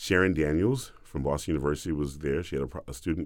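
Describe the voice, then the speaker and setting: A man with an American accent talks at a very fast pace in a very deep, low voice with vocal fry. His pitch varies in an ordinary way on a very clean recording with a silent background. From US South. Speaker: opera bass singer, former football player. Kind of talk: interview conversation.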